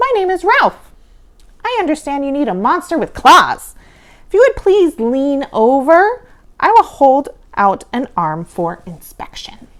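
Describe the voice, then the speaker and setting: Using a put-on character voice, a woman speaks at a high pitch. Her pitch swings very widely. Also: fairly slow pace. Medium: read story. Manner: refined, polite.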